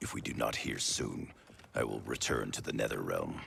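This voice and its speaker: Growling in a put-on character voice, a man speaks at a moderate pace. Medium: video game. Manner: blunt, suspicious.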